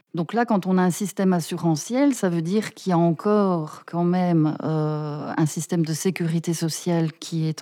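Fairly slow speech in a dark, mellow tone, with ordinary pitch variation. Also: woman. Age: 40s. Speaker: political aide and researcher. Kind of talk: interview.

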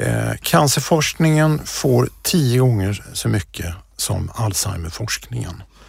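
A man speaks very slowly with lively intonation and a somewhat breathy voice. The recording is very clean, the background silent. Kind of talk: interview. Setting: podcast studio.

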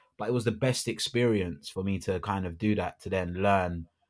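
A man speaks at a moderate pace with a London accent. His pitch is very deep and low, and the recording is very clean with a silent background. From London, England. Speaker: radio broadcaster and actor. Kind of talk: casual chat. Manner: animated.

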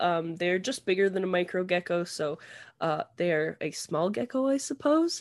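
A woman with a Canadian accent speaks in a normal speaking voice at a medium pitch. Her intonation is lively, and the background is quiet. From Canada. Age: 30s. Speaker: reptile keeper. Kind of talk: casual chat.

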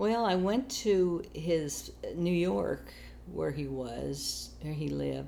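The speaker talks at a very slow pace with an American accent. Room echo is audible. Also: woman. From US Midwest, Kansas. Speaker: family elder recounting her life. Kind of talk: oral history interview.

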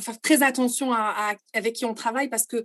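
A woman talks with a high pitch and fairly even intonation. The background is quiet. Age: 30s. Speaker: tour operator executive. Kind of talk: interview.

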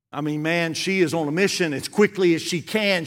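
This man has a Southern US accent, talking at a moderate pace with ordinary pitch variation. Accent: US South. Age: 60s. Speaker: guest preacher. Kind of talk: sermon. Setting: church.

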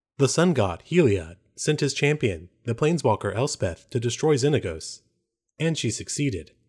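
On a very clean recording with a silent background, a man with a medium-pitched voice and vocal fry speaks at a moderate pace with very wide pitch swings. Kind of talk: dramatic audiobook narration, parody. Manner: solemn, theatrical, formal storytelling pace.

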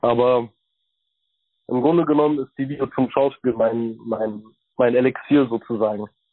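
This man's medium-pitched voice moves at a moderate pace with fairly even intonation, broken by long, frequent pauses. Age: 20s. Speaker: actor. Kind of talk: interview.

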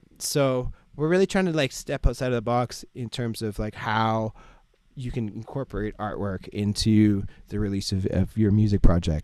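Speaking with a Canadian accent in a normal speaking voice, a man talks at medium pitch and a moderate pace with ordinary pitch variation, in a very clean recording with a silent background. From Ottawa, Ontario, Canada. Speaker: DJ and music producer. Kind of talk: casual interview chat.

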